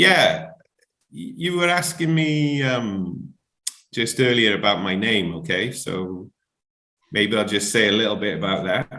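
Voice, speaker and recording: A man with a South Wales accent speaks in a bright, sharp tone at a fairly low pitch, making very wide pitch swings. His pace is fairly slow, with long, frequent pauses and audible room echo. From Wales, Barry near Cardiff. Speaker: musician. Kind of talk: interview. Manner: rambling, hesitant.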